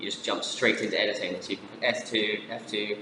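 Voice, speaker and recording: A man speaks over noticeable background noise. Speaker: software tutorial presenter. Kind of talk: tutorial. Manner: fast; casual, with filler words.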